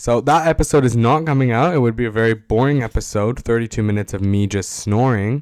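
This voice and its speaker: With music in the background, a man speaks in a Canadian accent with ordinary pitch variation. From Toronto, Canada. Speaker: podcast host. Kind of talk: casual monologue. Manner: rambling with many fillers.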